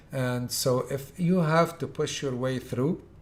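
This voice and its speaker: The voice is somewhat breathy with ordinary pitch variation, heard in audible room echo. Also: man. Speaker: Hajj tour organizer giving instructions. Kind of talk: lecture.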